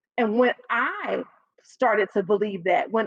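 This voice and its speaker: A woman with a Chicago South Side accent, animated in tone and lively in intonation, at a moderate pace in a dry, close sound with no echo. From South Side of Chicago, US. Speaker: public speaking coach. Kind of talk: podcast interview. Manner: stutters a little when excited.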